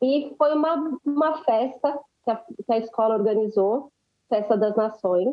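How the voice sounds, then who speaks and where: Using a high pitch and ordinary pitch variation, a woman talks at a fairly slow pace. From Brazil, Guarulhos (São Paulo). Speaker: dancer and choreographer. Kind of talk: podcast interview.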